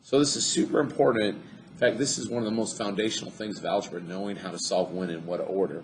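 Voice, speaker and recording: A man's fairly low voice at a very fast pace, lively intonation over noticeable background noise. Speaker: math teacher. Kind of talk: tutorial. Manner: animated.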